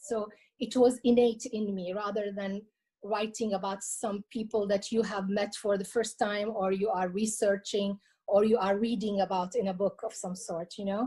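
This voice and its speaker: At a moderate pace, a woman speaks in a monotone, flat intonation with a somewhat breathy, dark, mellow tone at medium pitch. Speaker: cultural heritage collector and author. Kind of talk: interview. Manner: hesitant, with many fillers and repetitions.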